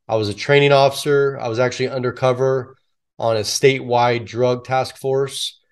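In a General American accent, a man talks with monotone, flat intonation. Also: medium pitch for a man, moderate pace. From US West Coast, San Francisco Bay Area. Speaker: retired police officer and public speaker. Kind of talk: interview.

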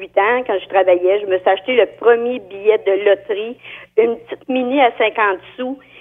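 At a moderate pace, the speaker talks in an ordinary speaking voice. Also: woman. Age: 60s. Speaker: caller, store clerk. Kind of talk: call-in radio chat.

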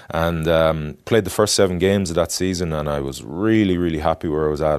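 Against a quiet background, someone with a west of Ireland accent speaks at a very fast pace with ordinary pitch variation. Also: man. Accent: west of Ireland Irish. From Ireland, Galway City. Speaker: former rugby player and adventurer. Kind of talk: interview. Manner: halting, many fillers.

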